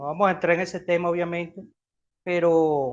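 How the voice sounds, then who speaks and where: Against a quiet background, a man is talking. His pace is fairly slow. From Venezuela. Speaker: interviewer, host of a Venezuelan nostalgia channel. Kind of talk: interview questions.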